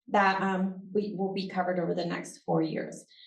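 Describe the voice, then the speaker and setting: Audible room echo surrounds a woman speaking at a fairly quick pace. Her medium-pitched voice keeps fairly even intonation. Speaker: university professor and research center director. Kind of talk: conference talk with Q&A. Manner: fast.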